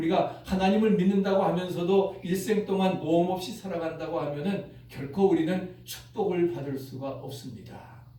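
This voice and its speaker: A man talks at a high pitch with hardly any pauses. Noticeable background noise sits behind him. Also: ordinary pitch variation, moderate pace. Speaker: pastor. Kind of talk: sermon.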